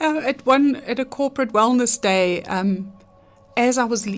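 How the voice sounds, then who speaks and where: An ordinary speaking voice from a woman, its pitch varying in an ordinary way. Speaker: handwriting analyst. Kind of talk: radio interview answer.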